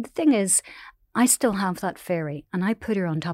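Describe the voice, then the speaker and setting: A woman with a Northern Irish accent at a moderate pace, ordinary pitch variation, a dry, close sound with no echo, and a very clean recording with a silent background. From Northern Ireland, Omagh. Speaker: newspaper columnist. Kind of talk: interview.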